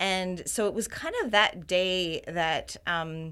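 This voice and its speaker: A woman's bright, sharp, fairly low voice on a very clean recording with a silent background. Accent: Canadian. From Ontario, Canada. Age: 50s. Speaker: health community founder. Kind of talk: interview conversation.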